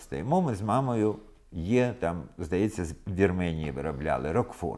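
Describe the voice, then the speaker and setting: A man's dark, mellow voice with vocal fry, very wide pitch swings and a moderate pace. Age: 70s. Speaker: film festival director. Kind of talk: interview.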